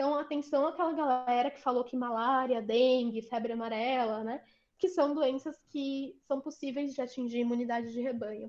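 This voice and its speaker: High-pitched woman at a moderate pace with fairly even intonation, hardly any pauses and big swings in loudness. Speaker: vaccine researcher, lecturer. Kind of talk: online lecture. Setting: video call, screen sharing.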